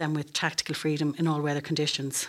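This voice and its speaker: A woman's very deep, low voice at a very fast pace, in an Irish Midlands accent, on a very clean recording with a silent background. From Ireland, County Westmeath. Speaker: military officer, air traffic control commander. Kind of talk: interview.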